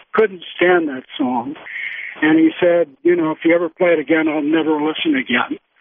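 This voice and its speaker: A man with a fairly high pitch talks in a normal speaking voice. His pace is moderate, and his pitch variation is ordinary. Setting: Skype call.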